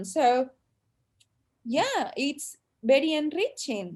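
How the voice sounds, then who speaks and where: A woman is speaking. She talks with a Spanish accent. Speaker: panelist on Chinese diaspora in Spain. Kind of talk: panel discussion. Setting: video call.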